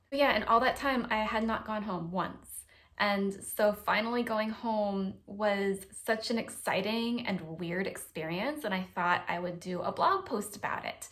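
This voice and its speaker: Using a plain, everyday voice, a woman with an American accent talks at a fairly slow pace, her fairly high pitch showing ordinary variation. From US, San Diego. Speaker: vlogger. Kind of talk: casual chat. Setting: temporary recording setup during house move.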